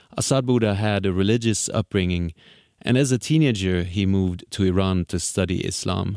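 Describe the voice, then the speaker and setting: A man's fairly low, dark, mellow voice at a moderate pace with ordinary pitch variation, the sound dry and close with no echo. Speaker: podcast host and editor. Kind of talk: scripted narration.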